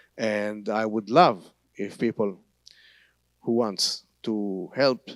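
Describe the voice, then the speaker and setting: A man speaks in an Israeli accent with a fairly low pitch. The recording is very clean with a silent background, and the sound is dry and close with no echo. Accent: Hebrew. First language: Hebrew. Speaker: tour guide and Bible teacher. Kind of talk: church talk. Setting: church service. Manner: halting.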